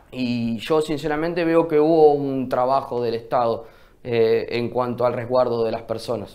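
A man's fairly even intonation comes through against a quiet background. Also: fairly slow pace. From Río Negro, Argentina. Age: 20s. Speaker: local mayoral candidate; candidate. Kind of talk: TV news interview. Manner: halting, many fillers. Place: studio.

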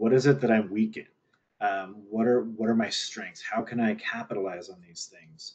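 A man talks at a moderate pace with big swings in loudness. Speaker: university professor. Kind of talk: panel Q&A. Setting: video call. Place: home room. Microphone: earbuds.

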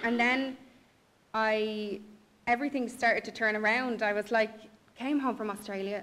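Speaking in a Dublin accent, a woman with a fairly high voice keeps a moderate pace and fairly even intonation. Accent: Dublin Irish. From Ireland, Dublin. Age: 20s. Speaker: blogger. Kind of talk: personal testimony. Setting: stage with audience. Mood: reflective, candid. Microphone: podium.

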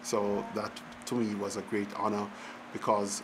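The delivery is fairly slow and flat, with monotone intonation. Background noise is noticeable. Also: man. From rural Jamaica. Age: 60s. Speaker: economics professor. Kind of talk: oral history interview. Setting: public event venue.

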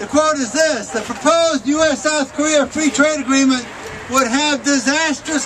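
Over noticeable background noise, a man with an American accent talks at a moderate pace with fairly even intonation. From US Midwest, Detroit area. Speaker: union activist. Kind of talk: outdoor protest rally speech, reading opponents' quotes aloud to a crowd. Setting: outdoors at a rally with crowd. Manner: pointed, indignant build-up with occasional stumbles. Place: street.

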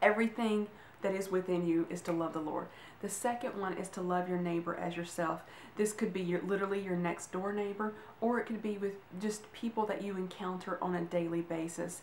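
Fairly quick speech from a woman with fairly even intonation, plus audible room echo and light background noise. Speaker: vlogger giving a devotional. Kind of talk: casual devotional talk. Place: home room. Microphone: camera far.

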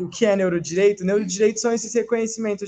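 Talking at a very fast pace, a man keeps his high voice in fairly even intonation. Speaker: philosophy undergraduate presenter; presenter. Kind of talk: academic presentation. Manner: reading aloud. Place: classroom. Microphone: handheld.

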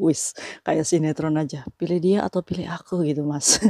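With a very deep, low pitch and a dark, mellow tone, a woman speaks at a moderate pace. The background is quiet and the sound is dry with no echo. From Indonesia. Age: 40s. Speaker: migrant domestic worker vlogger. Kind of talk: casual vlog monologue. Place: home room. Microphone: lapel.

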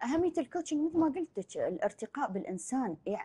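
A woman's somewhat breathy voice, dark and mellow in tone, with lively intonation. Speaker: life coach. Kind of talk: casual interview chat. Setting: studio. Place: studio.

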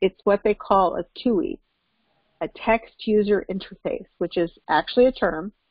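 Nothing much is heard behind the woman who is talking, as the background is quiet. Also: dry sound with no echo. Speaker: course instructor. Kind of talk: lecture. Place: home room. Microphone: video call.

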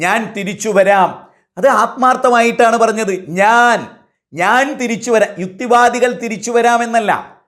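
High-pitched male voice with audible room echo. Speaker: Islamic preacher. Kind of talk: sermon. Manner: shifts between emotional and calm.

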